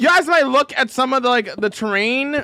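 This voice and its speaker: Using a raised, projected voice, a man speaks with a bright, sharp tone and lively intonation. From Canada. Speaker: video game streamer. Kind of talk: live stream chat. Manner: loud; emphatic.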